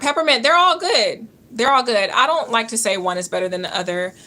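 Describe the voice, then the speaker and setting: The woman has a fairly high pitch and a Georgia accent. Her tone is bright and sharp. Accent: Georgia Southern. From US South, Georgia. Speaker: nurse and health coach livestreamer. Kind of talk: live-stream Q&A chat.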